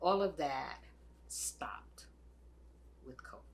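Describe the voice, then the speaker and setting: A woman speaks at a fairly slow pace. Room echo is audible. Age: 80s+. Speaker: retired church volunteer. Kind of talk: personal testimony.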